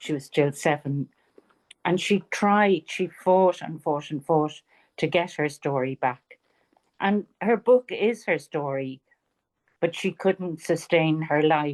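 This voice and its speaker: In a Dublin accent, a woman speaks at a very slow pace with long, frequent pauses, a very deep, low pitch, ordinary pitch variation and a dry, close sound with no echo. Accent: Irish (Dublin). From Ireland, Dublin. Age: 70s. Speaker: author. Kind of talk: interview.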